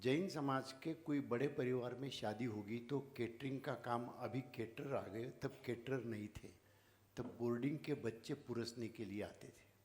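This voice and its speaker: Somewhat breathy, the voice holds a fairly even intonation. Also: man, medium pitch for a man. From Maharashtra, India (rural village). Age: 70s. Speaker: founder of social service organisation. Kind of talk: speech to audience. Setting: stage with audience.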